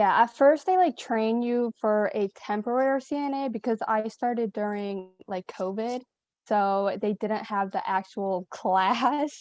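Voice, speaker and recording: At a fairly slow pace and with ordinary pitch variation, the speaker talks in a Western New York accent, recorded dry and close with no echo over a quiet background. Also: woman, fairly high pitch for a woman. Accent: Western New York American. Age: 20s. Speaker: nursing assistant. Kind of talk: casual chat.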